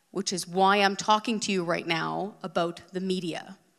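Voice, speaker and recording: With a Canadian accent, a woman talks in a normal speaking voice at medium pitch and with fairly even intonation. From Western Canada, BC. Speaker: former TV producer, media commentator. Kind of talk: live talk on stage. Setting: stage with audience.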